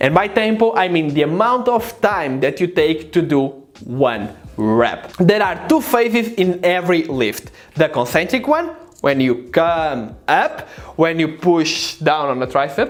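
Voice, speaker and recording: A man with a non-native accent speaks at a fairly slow pace in a high pitch. His pitch swings very widely while his loudness stays very even. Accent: foreign. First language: not English. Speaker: fitness youtuber. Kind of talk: tutorial. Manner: casual, direct to camera.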